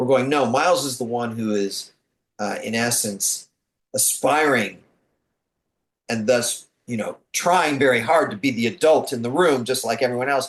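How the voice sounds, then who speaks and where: With a normal speaking voice, a man talks at a moderate pace in a medium pitch with ordinary pitch variation. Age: 60s. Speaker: comic book and animation writer. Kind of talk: casual interview chat.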